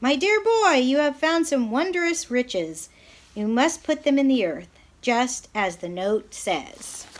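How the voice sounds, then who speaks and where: Using a put-on character voice, a woman speaks fairly slowly at a high pitch with very wide pitch swings. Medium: read story. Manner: polite, genteel.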